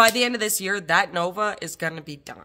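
The woman's tone is bright and sharp. She talks at a moderate pace. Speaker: car restoration vlogger. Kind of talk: casual vlog chat. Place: garage. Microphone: phone near.

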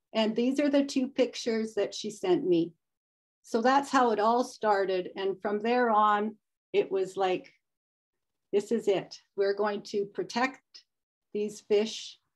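A woman's very slow, fairly high voice with a Canadian accent, ordinary pitch variation and long, frequent pauses, against a quiet background. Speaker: volunteer stream conservation presenter; presenter. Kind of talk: webinar presentation. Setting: video call. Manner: hesitant, many fillers. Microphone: unstable Wi-Fi connection; video call.

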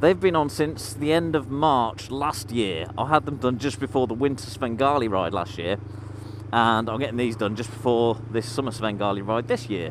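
The speaker uses ordinary pitch variation at a moderate pace. The sound is dry with no echo, with light background noise. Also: man. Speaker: motorcycle vlogger. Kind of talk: casual vlog chat. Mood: relaxed, slightly amused. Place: motorbike. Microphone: helmet.

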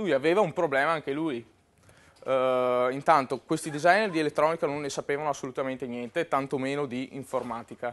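A fairly high male voice at a fairly quick pace, with ordinary pitch variation. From Verona, northern Italy; northern Italy. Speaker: web and mobile programmer, conference speaker; conference speaker. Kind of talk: conference talk. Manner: hesitant, with fillers. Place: hall. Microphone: lapel.

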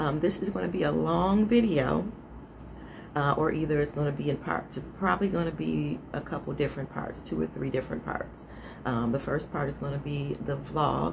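Noticeable background noise runs under a woman who talks at a moderate speed. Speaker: vlogger. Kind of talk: casual vlog chat. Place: home room. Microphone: phone near.

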